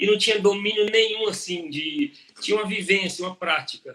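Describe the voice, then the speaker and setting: The man speaks at a moderate pace. His intonation is lively. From Brazil, interior of Minas Gerais. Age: 40s. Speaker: agronomist and professor. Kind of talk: interview on a live stream. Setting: live stream. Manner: conversational, with hesitations and fillers.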